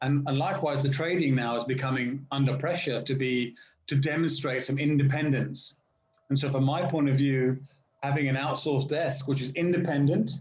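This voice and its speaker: Against audible room echo, a man speaks in a fairly high, somewhat breathy voice at a moderate pace with fairly even intonation. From England. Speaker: finance professional. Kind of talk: casual chat. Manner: precise diction.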